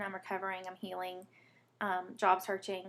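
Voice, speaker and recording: With a Southern US accent, a woman talks at a moderate pace. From US South (Alabama, born Mississippi). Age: 20s. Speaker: vlogger, patient advocate. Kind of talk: personal testimony vlog. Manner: rambling, hesitant with many fillers.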